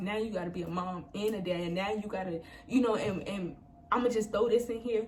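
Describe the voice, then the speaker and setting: Amid audible room echo, a woman with a medium pitch talks at a moderate pace in an animated tone. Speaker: hairstylist and vlogger. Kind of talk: personal testimony vlog.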